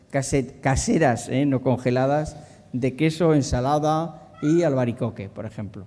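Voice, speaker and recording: A man's medium-pitched voice, dark and mellow in tone, with ordinary pitch variation at a moderate pace. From inland Spain. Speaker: doctor giving a talk on healthy eating. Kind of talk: conference talk. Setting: conference hall with audience. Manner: hesitant, many fillers and repetitions.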